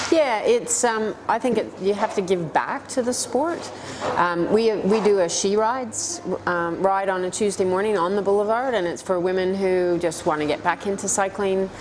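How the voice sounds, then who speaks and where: Against noticeable background noise, a woman with a Canadian accent speaks at a moderate pace and medium pitch with ordinary pitch variation. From Canada, Toronto. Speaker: para-cycling world champion. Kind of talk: interview.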